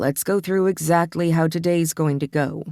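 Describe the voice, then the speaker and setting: A growling put-on character voice at a middle pitch moves along at a moderate pace. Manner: gruff.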